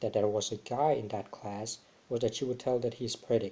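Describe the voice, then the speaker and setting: A man speaks with a non-native accent at medium pitch. His tone is dark and mellow, with ordinary pitch variation. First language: not English. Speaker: vlogger. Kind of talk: casual vlog monologue. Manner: halting, many fillers.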